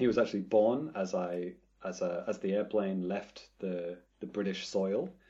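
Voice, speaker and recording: A man with a fairly low pitch speaks at a moderate pace, using ordinary pitch variation and a plain, everyday voice. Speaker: gamer living in Japan. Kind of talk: casual chat.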